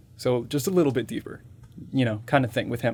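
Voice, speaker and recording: This is a man speaking. His pitch is medium. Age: 20s. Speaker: voice actor and viral content creator. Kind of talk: casual chat. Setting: podcast interview.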